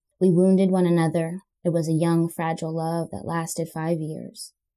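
Fairly low in pitch, a woman speaks at a moderate pace in a dark, mellow tone. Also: very clean recording, silent background. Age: 20s. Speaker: storyteller. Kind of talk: reading aloud.

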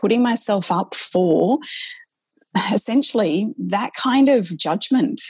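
Fairly high, somewhat breathy woman's voice with an Australian accent, lively intonation and a moderate pace. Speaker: nurse practitioner and author. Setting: video call.

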